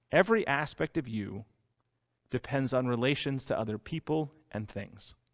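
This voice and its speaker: A man with a medium pitch talks at a moderate pace in an animated tone with lively intonation, the sound dry and close with no echo, in a very clean recording with a silent background. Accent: American. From US Northeast, Boston. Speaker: pastor. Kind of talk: sermon.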